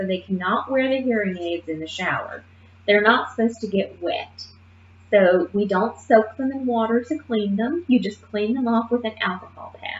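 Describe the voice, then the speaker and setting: The woman's voice is fairly high and carries a somewhat breathy quality. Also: ordinary pitch variation, moderate pace. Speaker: nursing instructor. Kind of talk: lecture. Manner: casual.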